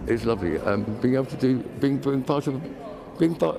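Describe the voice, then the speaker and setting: At a fairly quick pace, a man speaks at a medium pitch over noticeable background noise. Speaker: dancer living with Parkinson's. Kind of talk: TV interview. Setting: TV studio. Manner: halting, hesitant.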